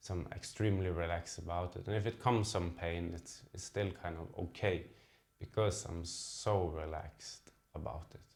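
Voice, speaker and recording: With a non-native accent, a man speaks at a moderate pace in a very deep, low, somewhat breathy voice whose loudness swings widely. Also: ordinary pitch variation. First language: not English. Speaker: diabetes vlogger. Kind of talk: personal vlog talk to camera. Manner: halting, with fillers and repeats.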